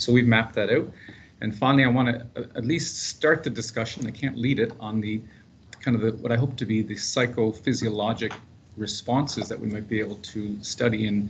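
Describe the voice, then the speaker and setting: The speaker has a Canadian accent and a somewhat breathy quality. Intonation is fairly even, at a fairly quick pace. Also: man, medium pitch for a man. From Canada, Prince Edward Island. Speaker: paramedic researcher. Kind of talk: seminar presentation. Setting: conference room with live and online audience. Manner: casual, humorous.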